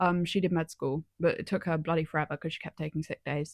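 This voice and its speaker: A woman talks at a fairly quick pace in a southern English accent. Her pitch is fairly low, and the sound is dry and close with no echo. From southern England, Somerset. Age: 20s. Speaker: vlogger, university student. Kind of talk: casual chat. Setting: home, laptop recording.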